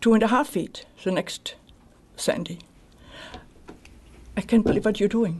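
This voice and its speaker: Fairly high female voice, somewhat breathy, its pitch varying in an ordinary way. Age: 60s. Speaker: resident speaking at public hearing. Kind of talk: public comment at village meeting. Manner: agitated, interrupting.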